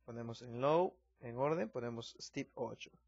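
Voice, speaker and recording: A man with ordinary pitch variation. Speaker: music producer. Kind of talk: software tutorial. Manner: casual.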